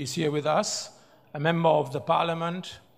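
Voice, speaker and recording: A man with a German accent and a high pitch. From Germany. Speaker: professor and business speaker. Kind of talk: speech with slides. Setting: award ceremony stage with audience. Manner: halting.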